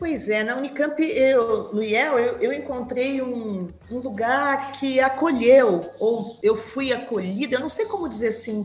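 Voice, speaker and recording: A woman speaks at a high pitch and a fairly slow pace, with ordinary pitch variation and hardly any pauses. Audible room echo and noticeable background noise surround her. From Brazil, Curitiba (Paraná). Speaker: linguistics professor. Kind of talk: interview conversation.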